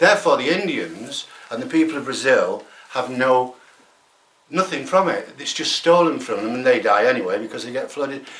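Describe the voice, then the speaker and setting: A man talks at a moderate pace with big swings in loudness and audible room echo. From England. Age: 70s. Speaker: environmental activist. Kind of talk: interview. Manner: animated.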